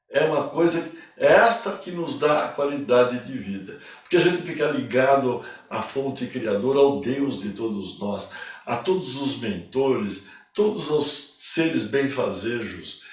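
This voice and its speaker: The speech moves at a fairly slow pace, with very wide swings in pitch. Room echo is audible, and background noise is noticeable. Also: man, fairly high pitch for a man. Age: 80s+. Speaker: spiritual teacher. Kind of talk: lecture. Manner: casual.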